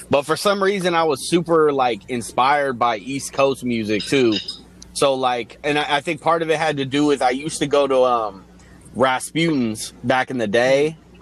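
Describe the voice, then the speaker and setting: With an American accent, a man in a plain, everyday voice speaks at a moderate pace and medium pitch with ordinary pitch variation. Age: 30s. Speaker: music video director, beat producer and rapper. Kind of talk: casual chat.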